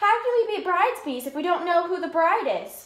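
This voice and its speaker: In a put-on character voice, a woman squeaks at an extremely high pitch, talking at a fairly quick pace with slight echo. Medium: read story. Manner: eager, fussy.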